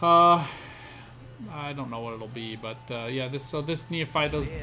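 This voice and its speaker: A man's voice, with ordinary pitch variation, carries through audible room echo and noticeable background noise. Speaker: gaming content creator. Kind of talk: gameplay commentary. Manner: fast; hesitant fillers.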